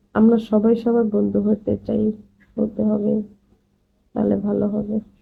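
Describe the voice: In a medium pitch with vocal fry and a husky, rough edge, a woman talks at a fairly slow pace in a monotone, flat intonation.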